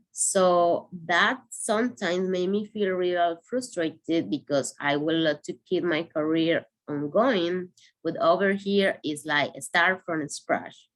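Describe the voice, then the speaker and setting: Speaking very slowly with a Spanish accent, a woman uses a fairly low pitch. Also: ordinary pitch variation. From Venezuela. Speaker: asylum seeker and activist. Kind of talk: personal testimony. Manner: halting.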